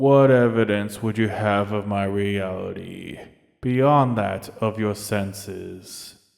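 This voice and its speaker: Using a put-on character voice, a man talks at a very slow pace in a fairly low pitch. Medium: read story. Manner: slow, solemn, terse.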